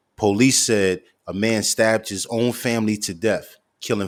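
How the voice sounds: A man talks at a fairly low pitch, captured in a very clean recording where the background is silent.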